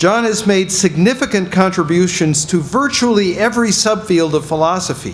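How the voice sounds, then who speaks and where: Light background noise sits behind speech at a fairly quick pace with ordinary pitch variation. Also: man. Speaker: event host introducing speaker. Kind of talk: formal speaker introduction. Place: hall. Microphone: podium.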